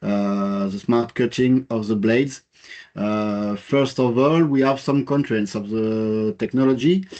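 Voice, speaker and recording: Speaking at a fairly slow pace with a French accent, a man has a medium pitch, a dark, mellow tone and ordinary pitch variation over a quiet background. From France. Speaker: engineer presenting a project. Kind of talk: webinar presentation. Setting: online webinar. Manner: halting, many fillers.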